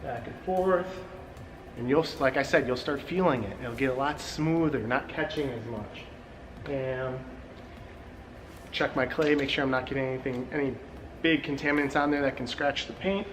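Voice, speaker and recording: Amid noticeable background noise and audible room echo, a man with a fairly high pitch and ordinary pitch variation talks at a moderate pace, taking long, frequent pauses. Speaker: car detailing show host. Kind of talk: tutorial. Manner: animated.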